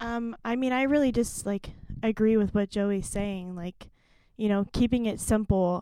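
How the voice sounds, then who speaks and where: Dry and close with no echo, a woman in an unremarkable speaking voice talks at a fairly high pitch with fairly even intonation and an American accent. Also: moderate pace. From Stillwater, Oklahoma. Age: 20s. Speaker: youth pastor. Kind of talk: podcast interview.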